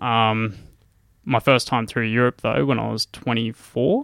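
In a very clean recording with a silent background and a dry, close sound with no echo, a man with an Australian accent speaks at medium pitch and a fairly slow pace in a bright, sharp tone. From Australia, regional Queensland (Gladstone). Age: 20s. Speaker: mountain climber and engineer. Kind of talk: casual interview.

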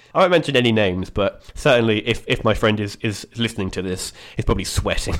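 Lively intonation and a very fast pace mark this speaker with an English accent. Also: man, medium pitch for a man. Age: 20s. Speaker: podcast guest. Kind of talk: casual chat.

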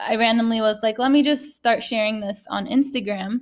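The recording is very clean, with a silent background. A woman with a fairly high, somewhat breathy voice speaks at a moderate pace with ordinary pitch variation. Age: 30s. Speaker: artist. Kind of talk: interview.

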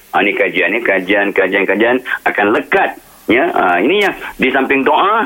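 Noticeable background noise behind a man talking at a moderate pace. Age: old. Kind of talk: radio interview.

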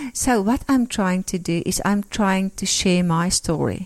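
A woman at medium pitch speaks at a fairly slow pace in a very clean recording with a silent background. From rural South Africa. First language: Afrikaans. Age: 50s. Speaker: interviewee sharing faith story. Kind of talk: testimony. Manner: warm.

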